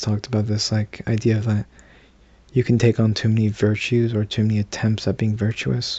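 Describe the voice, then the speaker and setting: A man speaks at a fairly low pitch with a somewhat breathy sound. His pace is moderate and his intonation monotone and flat. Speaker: vlogger. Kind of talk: casual monologue to camera. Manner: halting, many fillers and restarts; not at full voice, subdued.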